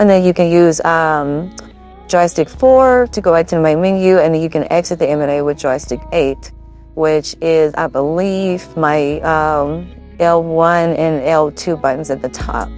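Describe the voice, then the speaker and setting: Music plays in the background as a woman speaks. Her pitch is very deep and low, with ordinary variation. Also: moderate pace. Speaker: gaming YouTuber. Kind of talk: casual tutorial talk to camera.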